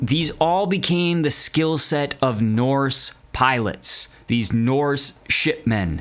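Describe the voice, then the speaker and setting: A man at a fairly high pitch and a very slow pace, lively intonation, very even loudness and hardly any pauses. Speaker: history podcast host. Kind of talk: podcast monologue on history.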